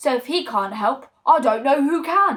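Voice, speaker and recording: A woman performs a loud, put-on character voice pitched high. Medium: read story. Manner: loud, boisterous.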